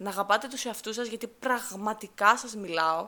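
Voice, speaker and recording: A woman talks in a fairly high pitch with a bright, sharp, animated tone and ordinary pitch variation. The recording is very clean, with a silent background. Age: 20s. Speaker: podcast host, university student. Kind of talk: solo casual monologue.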